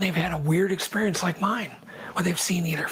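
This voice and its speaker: A female-sounding voice puts on a raspy character act at a medium pitch. She talks at a fairly quick pace. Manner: whispering, hushed.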